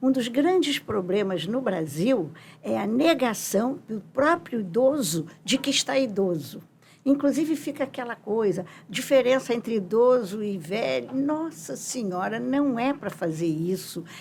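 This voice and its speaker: A woman speaks at a fairly slow pace in a fairly high, somewhat breathy voice. Her pitch swings very widely. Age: 80s+. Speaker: psychologist and professor. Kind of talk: interview.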